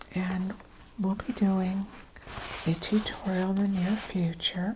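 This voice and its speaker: Soft-spoken and calm, a woman speaks very slowly at a medium pitch. Her intonation stays monotone and flat, with noticeable background noise behind her. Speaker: crochet and craft content creator. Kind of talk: soft-spoken ASMR-style craft show-and-tell. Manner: soft-spoken, calm.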